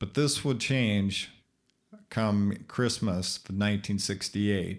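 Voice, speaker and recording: A man speaks at a fairly low pitch with fairly even intonation on a very clean recording with a silent background. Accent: American. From Minnesota. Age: 50s. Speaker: podcaster with epilepsy. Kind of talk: reading aloud; casual monologue. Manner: halting.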